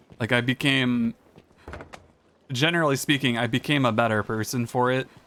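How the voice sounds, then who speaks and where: A man with a medium pitch speaks at a moderate pace with fairly even intonation. Noticeable background noise runs underneath. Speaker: video game streamer. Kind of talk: casual gameplay commentary.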